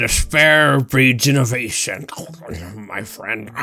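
A man uses a raspy, put-on character voice at medium pitch. He talks at a very slow pace with ordinary pitch variation. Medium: actual play. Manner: deadpan macabre.

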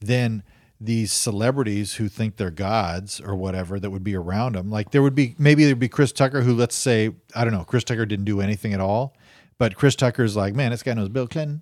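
On a very clean recording with a silent background, a man talks fairly quickly in a plain, everyday voice, medium in pitch with ordinary pitch variation. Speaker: podcast co-host. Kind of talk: casual comedy banter. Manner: joking, laid-back.

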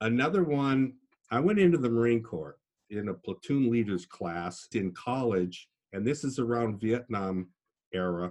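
A man with an American accent talks in a normal speaking voice at medium pitch, with lively intonation and a moderate pace. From US Midwest (Minnesota, Iowa). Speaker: podcast guest, engineer and martial artist. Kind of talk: casual interview.

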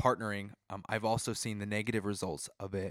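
In a very clean recording with a silent background, a man speaks at a moderate pace in an energetic tone. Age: 20s. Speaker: podcast co-host. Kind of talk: casual chat.

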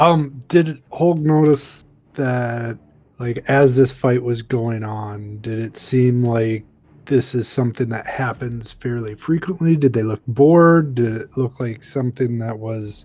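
The speaker has a plain, everyday voice. The pace is fairly slow, and the pitch variation is ordinary. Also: man, medium pitch for a man. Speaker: tabletop game player. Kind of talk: casual role-play game session, in and out of character. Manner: laughs often.

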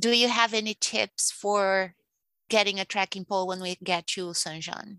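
A woman speaks at a medium pitch and a moderate pace in a flat monotone, her tone bright and sharp, with a dry, close sound free of echo against a quiet background. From Brazil. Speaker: podcast listener asking questions. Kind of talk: casual Q&A chat.

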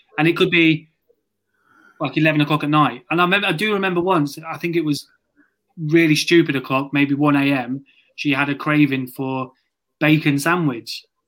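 A man with a British accent at fairly high pitch, moderate pace and long, frequent pauses, on a very clean recording with a silent background. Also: fairly even intonation. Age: 30s. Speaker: podcast co-host. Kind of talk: casual interview chat.

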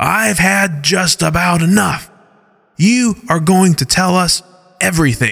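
A man puts on a growling character voice at a high pitch. He speaks at a fairly slow pace. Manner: menacing, demanding.

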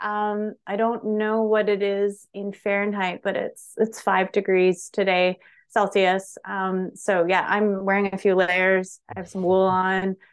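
A woman with a medium pitch speaks at a fairly slow pace in a flat, monotone way, with hardly any pauses. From Chinese family home. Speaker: spirit medium. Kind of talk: casual interview. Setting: remote call.

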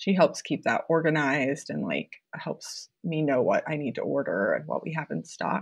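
A woman in a Midwestern American accent, at a moderate pace with hardly any pauses. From Iowa, Mason City. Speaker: balloon decor business owner. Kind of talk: interview.

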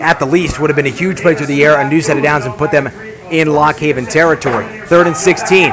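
Very fast speech over noticeable background noise. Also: man, fairly high pitch for a man. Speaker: radio play-by-play announcer. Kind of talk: live play-by-play commentary. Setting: stadium press box, radio broadcast. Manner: rapid, clipped, energetic play-calling.

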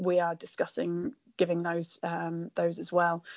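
A woman speaks with a British accent. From rural UK. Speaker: veterinarian. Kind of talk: interview.

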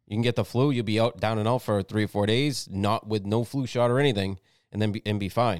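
A man with an American accent talks at a fairly quick pace in a fairly low pitch, an unremarkable speaking voice. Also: very clean recording, silent background. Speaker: podcast co-host. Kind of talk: angry conspiratorial rant. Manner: indignant and profane, stumbling over repeated words.

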